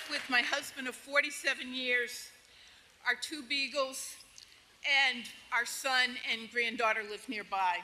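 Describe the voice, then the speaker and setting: A woman with a high pitch speaks at a fairly slow pace with fairly even intonation, long, frequent pauses and big swings in loudness, over noticeable background noise. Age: 70s. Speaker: retired nurse, patient speaker. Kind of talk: prepared speech introducing speakers.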